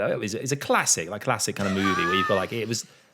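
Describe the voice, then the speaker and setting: A man speaks with a Mancunian accent and lively intonation. Noticeable background noise runs behind him. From Manchester, England. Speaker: podcast host. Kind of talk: casual chat. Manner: halting.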